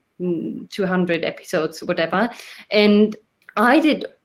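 Using lively intonation, a woman speaks at medium pitch with a non-native accent. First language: not English. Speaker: podcast host. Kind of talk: casual chat.

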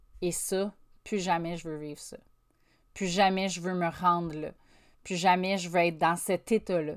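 A woman with a Quebec accent speaks at a fairly slow pace and fairly low pitch. Her intonation is fairly even, and the recording is very clean with a silent background. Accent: Québécois French. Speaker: podcast host, life coach. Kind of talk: solo motivational monologue. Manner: casual, conversational.

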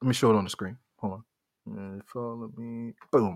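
An animated man speaks in a very clean recording with a silent background. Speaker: podcast host. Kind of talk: solo live stream chat. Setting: live stream at home mic.

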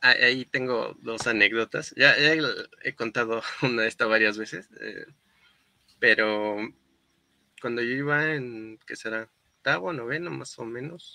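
With long, frequent pauses, a man speaks in a bright, sharp tone at medium pitch with ordinary pitch variation, the sound dry and close with no echo. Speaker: engineer and entrepreneur. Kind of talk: casual interview chat.

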